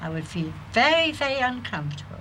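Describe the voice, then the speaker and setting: At a moderate pace, a woman with a medium pitch speaks with very wide pitch swings and audible room echo. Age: old. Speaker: pensioner. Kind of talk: interview.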